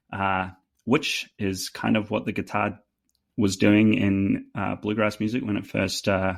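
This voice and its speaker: A man's fairly low voice, fairly slow, with fairly even intonation. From New Zealand. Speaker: fiddle player. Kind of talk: casual chat. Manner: halting, many fillers.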